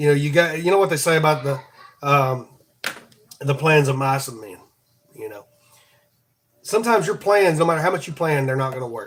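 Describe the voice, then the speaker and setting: A man's fairly high voice at a fairly quick pace, with ordinary pitch variation, big swings in loudness and long, frequent pauses. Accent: Southern US. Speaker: podcast host. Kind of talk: devotional talk. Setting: live stream. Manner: halting, repeats words.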